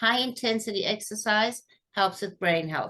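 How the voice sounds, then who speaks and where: Lively intonation marks a woman's voice at a medium pitch. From South Africa. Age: 60s. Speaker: fitness coach. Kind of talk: interview. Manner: halting, many fillers; animated.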